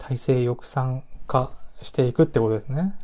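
Speaking at a fairly slow pace, a man with a somewhat breathy, dark, mellow tone keeps a medium pitch with ordinary variation. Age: 30s. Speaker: podcast host. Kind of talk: solo casual monologue.

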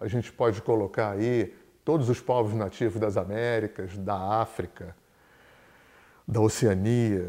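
A man speaks at a fairly low pitch in a dark, mellow tone with fairly even intonation, in a very clean recording with a silent background. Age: 60s. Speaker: therapist and teacher. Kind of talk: lecture.

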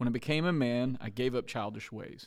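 This man has a plain, everyday voice at medium pitch with ordinary pitch variation. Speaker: podcast host. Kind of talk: casual interview chat.

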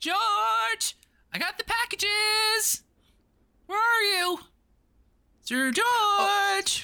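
Put-on character voice, female-sounding and extremely high in pitch, at a very slow pace with long, frequent pauses. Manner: loud, hurried, brisk.

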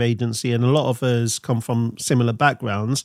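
A man with an English Midlands accent talks at a moderate pace on a very clean recording with a silent background. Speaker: brand consultant, agency owner. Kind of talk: casual chat.

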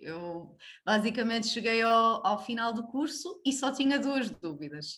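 In a very clean recording with a silent background, a woman speaks fairly slowly at a fairly high pitch with very wide pitch swings. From Portugal, Braga. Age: 30s. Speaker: family doctor. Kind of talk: interview conversation; personal testimony. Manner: halting.

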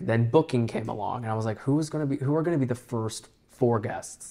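A man speaks at a moderate pace with a medium pitch and ordinary pitch variation. It is a plain, everyday voice. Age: 20s. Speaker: podcast host. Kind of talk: casual chat.

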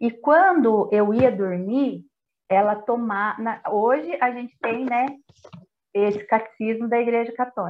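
Speaking at a fairly slow pace, a woman has a normal speaking voice with a fairly high pitch and ordinary pitch variation. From Brazil, Itapeva (São Paulo state). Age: 40s. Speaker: prayer group coordinator. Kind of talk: podcast interview.

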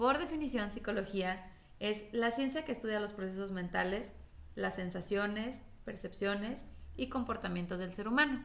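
With a Mexican accent and a medium pitch, a woman speaks at a moderate pace in an animated tone with ordinary pitch variation, her voice carrying audible room echo. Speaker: podcast host. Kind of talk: casual chat.

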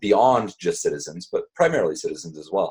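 At a very fast pace, a man talks with a dry, close sound and no echo. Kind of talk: interview. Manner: hesitant, many fillers.

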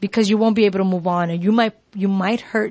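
A woman with an American accent and a medium pitch sounds somewhat breathy at a moderate pace, in a dry, close sound with no echo. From New York. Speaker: self-care coach. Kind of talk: casual radio chat. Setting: radio show.

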